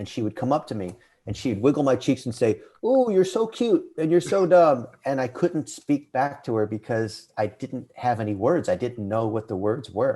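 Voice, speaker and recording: A man's dark, mellow voice with an American accent, lively intonation and a moderate pace. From California, US. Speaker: digital marketing CEO. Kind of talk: podcast interview, personal story.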